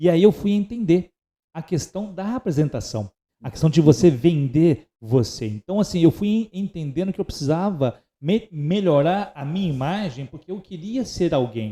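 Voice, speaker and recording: A man's high voice with a dark, mellow tone, very wide pitch swings, big swings in loudness and a moderate pace. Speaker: podcast host and entrepreneur. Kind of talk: casual podcast conversation.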